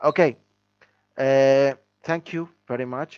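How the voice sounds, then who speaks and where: A man's medium-pitched voice with ordinary pitch variation and a non-native accent. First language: not English. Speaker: English language student. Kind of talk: language lesson conversation. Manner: halting.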